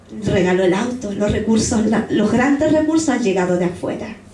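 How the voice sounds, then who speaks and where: Very wide pitch swings from a woman, along with noticeable background noise and audible echo in the room. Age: 70s. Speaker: pastor. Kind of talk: sermon.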